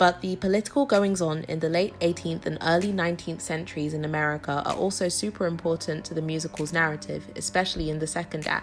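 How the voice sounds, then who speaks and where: With music in the background, a woman with a British accent races along at a very fast pace, hardly pausing, her fairly low pitch carried by lively intonation. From UK. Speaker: YouTuber explaining a musical. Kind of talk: video essay explainer. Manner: casual, playful.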